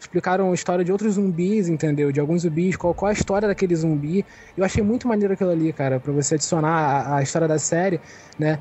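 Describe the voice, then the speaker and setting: The speech moves at a very fast pace. Its loudness stays very even, with ordinary pitch variation. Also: man, high pitch for a man. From Rio de Janeiro, Brazil. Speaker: podcast co-host. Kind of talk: casual chat.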